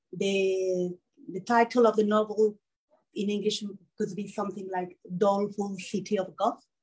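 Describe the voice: A woman with a Mexican accent talks at a moderate pace and medium pitch. Her tone is slightly mellow, with little pitch movement.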